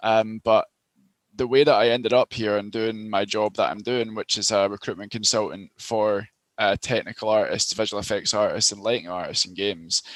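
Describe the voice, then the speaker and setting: In a Glasgow accent, a man with a fairly low pitch speaks at a moderate pace in a monotone, flat intonation, on a very clean recording with a silent background and a dry, close sound with no echo. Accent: Scottish (Glasgow area). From Scotland, near Glasgow. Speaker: recruitment consultant. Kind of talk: interview. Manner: hesitant, many fillers.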